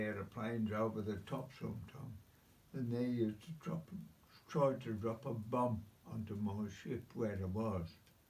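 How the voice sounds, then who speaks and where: A man's somewhat breathy, dark, mellow voice at medium pitch and a fairly slow pace, with audible room echo. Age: 90s. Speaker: WW2 navy veteran. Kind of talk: casual interview. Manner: repetitive.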